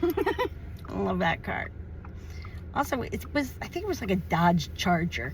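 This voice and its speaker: An animated tone at a moderate pace. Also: woman. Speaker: activist video host interviewer. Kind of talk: casual outdoor interview. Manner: loud.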